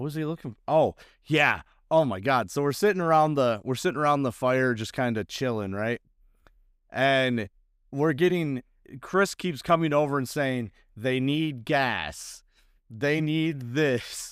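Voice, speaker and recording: The voice is loud and comes at a fairly slow pace with ordinary pitch variation, in a very clean recording with a silent background. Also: man, fairly high pitch for a man. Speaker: off-road podcast host. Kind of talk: casual chat.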